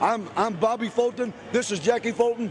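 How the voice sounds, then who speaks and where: A man speaks with an American accent over noticeable background noise. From Ohio, Chillicothe. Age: 40s. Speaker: professional wrestler. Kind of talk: wrestling promo interview. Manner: animated.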